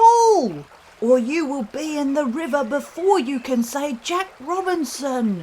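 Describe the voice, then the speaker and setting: In a put-on character voice with a high pitch, the speaker goes at a fairly slow pace. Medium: read story.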